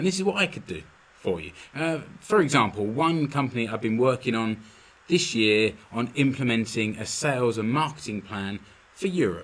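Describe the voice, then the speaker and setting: With a London accent, a man speaks at medium pitch with lively intonation. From London, England. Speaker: podcast host, business consultant. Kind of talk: solo podcast monologue. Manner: casual, with fillers and repetitions.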